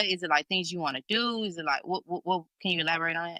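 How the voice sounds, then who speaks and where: A woman with a strong Memphis accent speaks at a fairly low pitch in a bright, sharp tone. The recording is very clean, with a silent background and a dry, close sound with no echo. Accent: Memphis Southern accent, strong. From Memphis, Tennessee. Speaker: singer-songwriter and podcast host. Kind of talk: casual chat.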